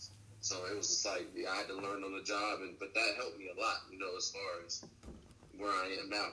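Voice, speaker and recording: Speaking at a fairly quick pace with an American accent, a man is heard against noticeable background noise. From Los Angeles, San Fernando Valley. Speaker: amateur boxer. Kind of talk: casual interview chat.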